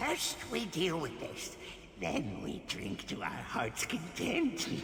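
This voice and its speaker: A put-on character voice at a middle pitch, very slow, with clear background noise and clear echo. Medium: machinima. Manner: jovial, rambling, frequent laughter.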